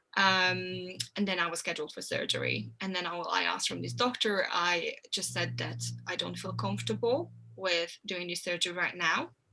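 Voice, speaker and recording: A woman with a Hungarian accent at a moderate pace. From Hungary. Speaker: health coach. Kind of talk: interview.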